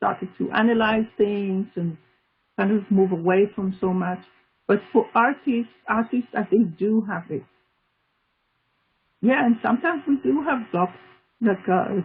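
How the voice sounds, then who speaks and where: A woman talks at a fairly slow pace with a non-native accent, leaving long, frequent pauses. Her intonation is lively. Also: medium pitch for a woman. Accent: foreign. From Israel, Tel Aviv. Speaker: art therapist and artist. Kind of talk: interview.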